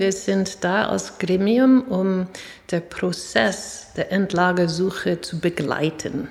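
A very slow delivery in an American accent. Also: woman. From US, New York City. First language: English (speaking German). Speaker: professor and chair of a citizen advisory body. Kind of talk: interview. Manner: halting.

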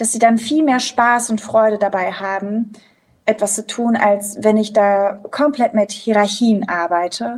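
At a fairly slow pace, a woman talks in an unremarkable speaking voice with ordinary pitch variation. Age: 30s. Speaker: theatre director and author. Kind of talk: casual chat. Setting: video call.

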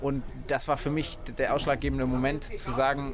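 Fairly even intonation from a man, with noticeable noise in the background. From southern Baden, near Freiburg. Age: 20s. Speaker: mayor and rail activist. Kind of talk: interview.

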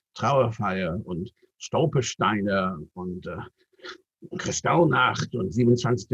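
The intonation is lively as a man talks. A somewhat breathy quality runs through his voice. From Great Britain. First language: English (speaking German). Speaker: rabbi. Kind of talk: interview.

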